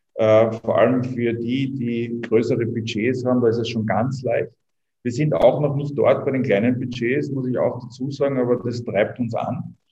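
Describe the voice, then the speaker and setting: A man with a slight Viennese accent speaks at a moderate pace and a medium pitch, his intonation monotone and flat. His tone is dark and mellow, and somewhat breathy. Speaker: startup co-founder. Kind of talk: interview.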